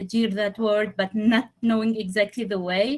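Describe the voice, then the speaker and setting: Somewhat breathy, a woman talks at a moderate pace. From Tunisia. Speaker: engineering intern. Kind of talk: interview.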